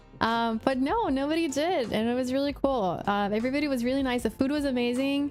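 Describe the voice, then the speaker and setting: A woman talks at a very fast pace with hardly any pauses and very even loudness. Her high voice sounds animated over noticeable background noise. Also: ordinary pitch variation. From Puerto Rico. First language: Spanish. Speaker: streamer. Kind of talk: casual chat. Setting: livestream.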